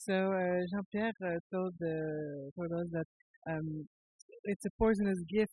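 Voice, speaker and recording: A man's high-pitched voice, fairly slow and fairly even in intonation, with music in the background. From Quebec, Canada. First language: French. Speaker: interpreter and theater critic. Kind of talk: live interpretation.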